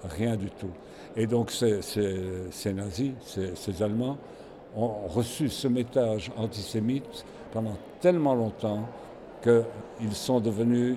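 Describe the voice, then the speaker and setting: A man at a medium pitch with ordinary pitch variation, a very slow pace, long, frequent pauses and noticeable background noise. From Belgium. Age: 80s+. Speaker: Holocaust survivor and collector. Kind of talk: interview testimony. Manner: halting, with fillers and repetitions.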